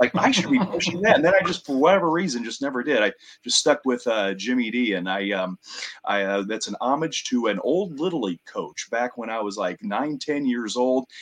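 At a fairly quick pace, a man with a medium pitch makes very wide pitch swings. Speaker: ring announcer and commentator. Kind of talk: casual interview chat.

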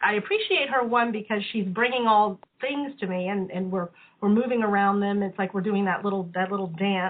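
Here is a plain, everyday voice with fairly even intonation. The speaker moves at a fairly quick pace. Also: woman, medium pitch for a woman. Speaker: study group participant. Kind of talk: group discussion on conference call. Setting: phone call.

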